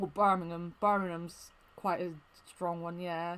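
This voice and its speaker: This woman has a West Country accent and a medium pitch. She speaks at a fairly slow pace. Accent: mild Plymouth. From England, Plymouth. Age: 30s. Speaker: gaming streamer. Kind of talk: casual chat. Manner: careful.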